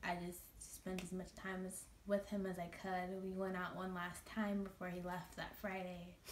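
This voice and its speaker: A shaky woman's voice at a medium pitch moves along at a moderate pace. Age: 20s. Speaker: makeup artist. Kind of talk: casual talk to camera.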